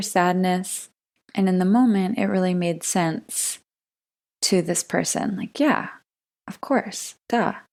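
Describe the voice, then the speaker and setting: A woman speaks in a calm tone at a fairly slow pace with ordinary pitch variation, on a very clean recording with a silent background. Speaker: podcast host and wellness coach. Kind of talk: teaching talk. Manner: calm, soft-spoken.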